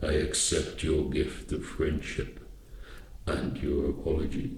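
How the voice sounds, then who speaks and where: A man uses a put-on character voice at a fairly slow pace. There is a slight echo. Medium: read story. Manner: imperious, solemn.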